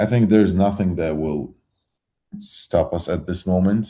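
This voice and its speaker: A man with a Georgian accent and a dark, mellow tone speaks at a very slow pace with ordinary pitch variation on a very clean recording with a silent background. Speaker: metal musician. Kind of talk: interview. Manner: halting.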